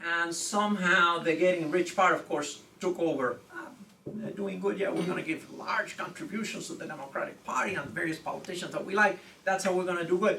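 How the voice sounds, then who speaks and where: Over noticeable background noise, a man speaks fairly quickly in a high pitch. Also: ordinary pitch variation. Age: 60s. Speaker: law professor. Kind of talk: lecture. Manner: frequent filler 'okay'.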